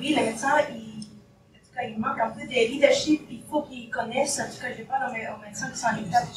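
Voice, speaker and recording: Against noticeable background noise and audible room echo, a woman speaks at a high pitch. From Spain. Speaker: family physician. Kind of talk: audience question at panel discussion.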